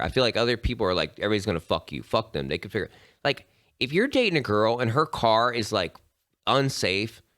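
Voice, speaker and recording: Speaking very fast with an animated tone, a man at medium pitch shows lively intonation and vocal fry. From Appalachia, West Virginia. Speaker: tattoo artist and podcast host. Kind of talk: casual chat.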